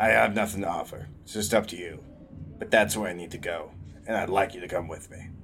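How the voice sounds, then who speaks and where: Over clear music in the background, a man uses a raspy put-on character voice with fairly low pitch, fairly even intonation and big swings in loudness. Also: fairly quick pace. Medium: actual play.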